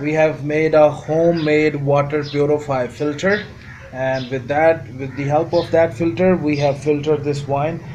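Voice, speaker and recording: A man talks fairly slowly at a fairly high pitch amid noticeable background noise. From Pakistan. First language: not English. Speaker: home distiller, viewer. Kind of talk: video message.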